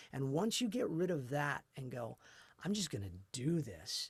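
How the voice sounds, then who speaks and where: Lively intonation and vocal fry mark this man's fairly high-pitched voice. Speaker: voice actor. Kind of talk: interview answer.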